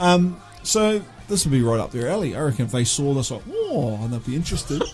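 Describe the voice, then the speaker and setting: Music plays behind a man with a New Zealand accent who talks at a very fast pace with very wide pitch swings. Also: fairly high pitch for a man. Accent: New Zealand (Kiwi). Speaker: podcast co-host, album reviewer. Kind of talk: casual chat. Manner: hesitant, many fillers.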